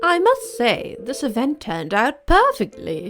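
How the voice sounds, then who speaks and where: Over music in the background, a woman uses a put-on character voice, pitched high, at a moderate pace. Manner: polite, refined.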